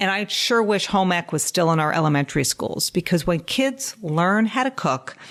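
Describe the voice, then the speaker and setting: With an unremarkable speaking voice at medium pitch, a woman talks at a moderate pace using lively intonation. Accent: American. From New York (Westchester). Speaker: dietitian and podcast host. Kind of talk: casual podcast monologue.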